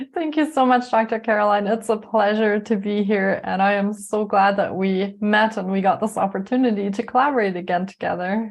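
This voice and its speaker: A woman with a German accent speaks at a medium pitch and fairly quick pace. Her intonation is fairly even, with hardly any pauses. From Germany (Munich), moved to Canada at 13. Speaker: life coach and yoga teacher. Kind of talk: interview.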